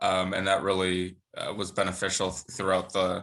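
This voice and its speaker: Against a quiet background, a man with an American accent speaks at a fairly slow pace. His very deep, low voice has a bright, sharp tone. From Madison, Wisconsin, US Midwest. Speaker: school board member. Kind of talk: interview. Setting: video call.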